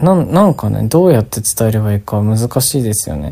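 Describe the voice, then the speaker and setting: A man's fairly low voice, dark and mellow in tone, at a moderate pace. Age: 20s. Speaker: podcast host, traveler. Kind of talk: solo travel vlog monologue. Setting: on location while traveling. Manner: casual, rambling.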